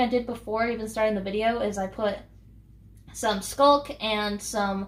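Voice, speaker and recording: A woman talks fairly slowly, with noticeable background noise behind her. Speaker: gaming YouTuber. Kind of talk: casual gameplay commentary. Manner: hesitant, many fillers.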